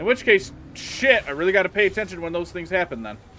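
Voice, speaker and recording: A man talks at a very fast pace in a raised, projected voice, animated and with lively intonation. Noticeable background noise runs underneath. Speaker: video game streamer. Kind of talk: live gameplay commentary.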